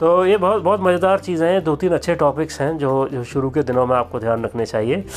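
A man at a fairly high pitch, in an unremarkable speaking voice, with lively intonation and a moderate pace. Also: hardly any pauses. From India. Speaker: podcaster and father. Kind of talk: casual monologue.

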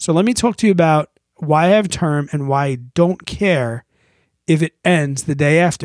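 Very clean and silent in the background, this recording is dry and close with no echo. A man speaks at a moderate pace with a fairly high pitch and ordinary pitch variation. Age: 30s. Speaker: podcast co-host, former brewery owner. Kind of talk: casual chat. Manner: animated.

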